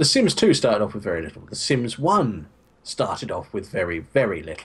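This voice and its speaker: The voice is somewhat breathy and moves at a fairly quick pace, with very wide pitch swings and big swings in loudness. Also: man, fairly low pitch for a man. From West Country, England. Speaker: co-streamer. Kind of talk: casual livestream chat. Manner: speeds up when passionate.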